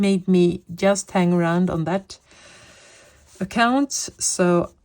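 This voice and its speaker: A woman with a fairly low pitch speaks at a very slow pace with a Swedish accent. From Sweden. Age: 50s. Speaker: coloring hobby vlogger. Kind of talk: casual chat. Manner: hesitant, with fillers.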